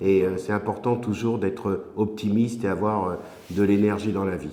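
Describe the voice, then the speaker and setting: The voice has a dark, mellow tone and fairly even intonation at a moderate pace. Audible room echo surrounds it. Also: man. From southern France, Mediterranean coast. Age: 60s. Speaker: regional politician. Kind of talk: interview. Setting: office. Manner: hesitant, frequent filler 'euh'.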